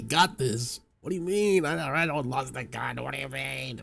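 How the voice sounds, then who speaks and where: A man puts on a character voice at a medium pitch. His voice is raspy. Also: moderate pace. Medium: game stream. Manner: rambling, flustered.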